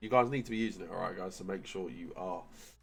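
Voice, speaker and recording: The speaker has an English accent. Intonation stays fairly even. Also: man. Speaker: gaming YouTuber. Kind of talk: gaming tutorial. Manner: casual, filler-heavy.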